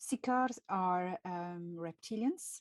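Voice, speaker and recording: The dry, close sound with no echo carries a woman's medium-pitched voice in a French accent. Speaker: channel host, speaker on extraterrestrial topics. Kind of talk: live stream talk. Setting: live video stream. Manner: halting, with many fillers.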